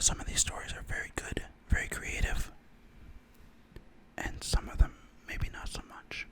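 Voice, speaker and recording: A man whispers at a moderate pace, with big swings in loudness and long, frequent pauses. Noticeable background noise sits behind him. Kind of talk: casual intro to camera. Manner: whispered, soft-spoken.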